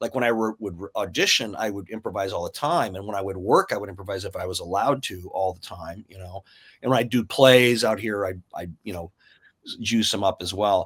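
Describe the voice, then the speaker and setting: The recording is very clean with a silent background as a man talks fairly quickly. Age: 60s. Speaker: actor. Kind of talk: casual chat. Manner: halting.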